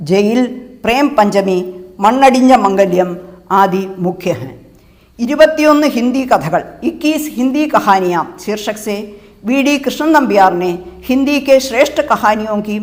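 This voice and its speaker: Fairly high-pitched speech from a woman, with lively intonation and audible room echo. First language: Malayalam (speaking Hindi). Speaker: professor and translator. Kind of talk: lecture. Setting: web lecture recording. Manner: formal.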